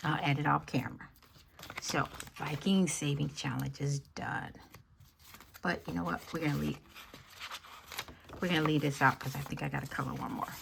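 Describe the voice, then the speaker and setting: Quiet speech at a moderate pace, long, frequent pauses, and noticeable background noise. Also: woman. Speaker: budgeting YouTuber. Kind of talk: cash stuffing tutorial. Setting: at home, early morning. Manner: quiet, talking low.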